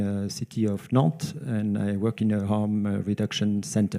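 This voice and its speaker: A man speaks with a French accent. His voice is fairly low, with a dark, mellow tone. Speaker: nurse, harm reduction worker. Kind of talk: conference talk. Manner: slow, hesitant.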